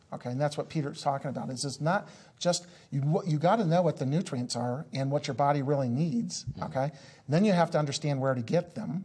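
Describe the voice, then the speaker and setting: Very fast speech with ordinary pitch variation, a somewhat breathy quality and a dark, mellow tone. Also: man, fairly high pitch for a man. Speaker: business coach. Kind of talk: interview. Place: studio. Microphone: lapel.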